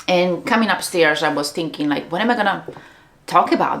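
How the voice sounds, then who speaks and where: A woman speaks at a moderate pace with an Italian accent, her pitch fairly low and its variation ordinary. Noticeable background noise sits behind her. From Italy, Treviso. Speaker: business coach. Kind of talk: casual vlog monologue. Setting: home studio. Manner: pauses between words and sentences.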